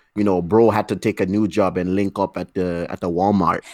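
In a plain, everyday voice, a man speaks at a moderate pace with fairly low pitch and fairly even intonation, the sound dry and close with no echo. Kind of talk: casual chat. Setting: video call.

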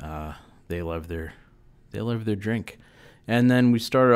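The voice moves at a moderate pace with lively intonation and a relaxed tone. It is a very clean recording with a silent background. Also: man. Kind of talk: radio DJ patter between songs, back-announcing tracks and plugging the station. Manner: relaxed, rambling and self-deprecating, with frequent 'uh' fillers and trailing off; casual and conversational, unpolished, mildly wry.

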